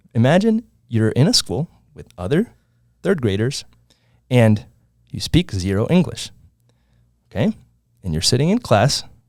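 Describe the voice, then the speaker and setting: Pausing long and often at a moderate pace, a man with a Spanish accent speaks at a medium pitch with very wide pitch swings, in a very clean, dry, close recording with a silent background and no echo. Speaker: entrepreneur. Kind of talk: casual podcast storytelling.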